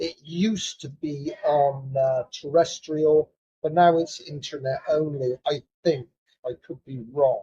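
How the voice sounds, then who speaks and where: A very slow, somewhat breathy man in a British accent, fairly high in pitch, with a dark, mellow tone. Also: fairly even intonation. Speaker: psychotherapist; British Army veteran. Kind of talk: casual talk to camera. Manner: hesitant, many fillers.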